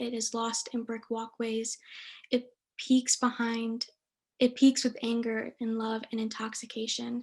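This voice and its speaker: A woman with an American accent, fairly high pitch, monotone, flat intonation, a moderate pace and a quiet background. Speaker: student poet. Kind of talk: poetry reading.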